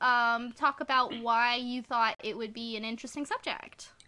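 A woman's high-pitched, bright, sharp voice, raised and projected, at a moderate pace. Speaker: podcast host. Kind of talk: casual chat.

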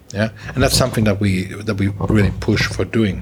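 At a fairly quick pace, a man talks while noticeable background noise carries on behind him. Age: middle-aged. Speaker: tech company managing director. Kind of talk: interview. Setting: office.

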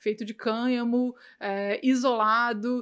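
A woman speaks in a plain, everyday voice, fairly high in pitch with fairly even intonation. The recording is very clean, with a silent background. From Brazil, Goiânia. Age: 30s. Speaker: cannabis educator. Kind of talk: casual interview chat.

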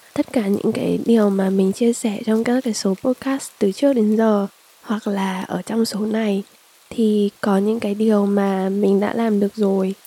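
Speech comes at a fairly slow pace with fairly even intonation. The sound is dry and close with no echo, though noticeable background noise is present. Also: woman, medium pitch for a woman. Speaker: podcast host. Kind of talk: casual personal monologue. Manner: rambling conversational.

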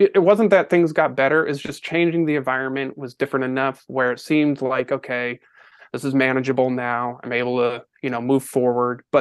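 Speaking at medium pitch with a normal speaking voice, the man keeps his intonation fairly even and his pace moderate. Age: 40s. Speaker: podcast guest sharing personal story. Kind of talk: testimony.

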